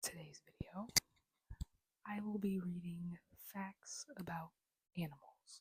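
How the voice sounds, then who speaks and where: The pace is very slow and the speech is whispered, broken by long, frequent pauses. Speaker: ASMR creator. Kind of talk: casual talk to camera.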